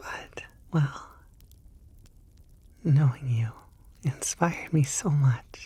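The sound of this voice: A woman puts on a character voice with an extremely low pitch, a dark, mellow tone and a husky, rough edge. She speaks at a very slow pace with ordinary pitch variation.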